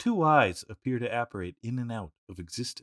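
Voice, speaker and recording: In a very clean recording with a silent background and a dry, close sound with no echo, a man with an unremarkable speaking voice and a Canadian accent talks at a fairly quick pace, with medium pitch and lively intonation. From Canada. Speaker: podcast co-host. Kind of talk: casual chat.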